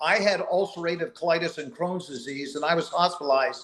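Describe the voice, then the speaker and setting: Noticeable background noise accompanies a man with a high pitch and ordinary pitch variation. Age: 60s. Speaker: company co-founder. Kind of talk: motivational speech.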